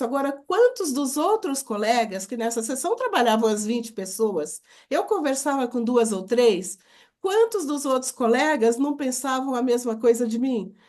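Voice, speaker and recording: Against a quiet background, a woman speaks at a moderate pace with a high pitch and lively intonation. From Brazil, Minas Gerais. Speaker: book coauthor and public speaker. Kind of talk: casual interview chat. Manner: animated storytelling.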